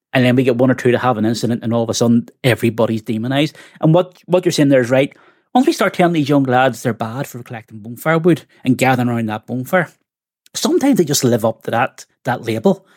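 Talking at a very fast pace, a man uses a medium pitch with ordinary pitch variation in a dry, close sound with no echo. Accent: Northern Irish. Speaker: podcast co-host. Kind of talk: podcast interview.

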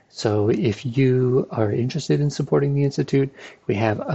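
A somewhat breathy male voice at a moderate pace. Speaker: institute staff announcer. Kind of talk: announcements and intro.

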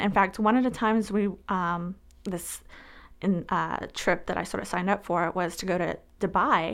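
A woman at a medium pitch, moderate pace and fairly even intonation, on a very clean recording with a silent background. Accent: American. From Arizona, US. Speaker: Air Force veteran. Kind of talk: interview testimony.

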